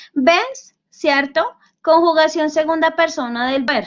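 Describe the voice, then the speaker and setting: Ordinary pitch variation at a very slow pace. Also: woman. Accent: Bogotá. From Colombia, Bogotá. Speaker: university tutor. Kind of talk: online lecture. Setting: virtual class session.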